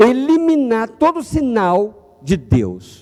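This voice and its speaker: A man is speaking. His pitch swings very widely. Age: 50s. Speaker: pastor. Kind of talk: sermon. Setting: church.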